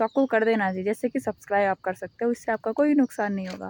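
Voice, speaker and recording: In a dry, close sound with no echo, a woman speaks at a fairly high pitch with ordinary pitch variation. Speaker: YouTuber. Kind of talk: casual vlog monologue. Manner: casual, conversational.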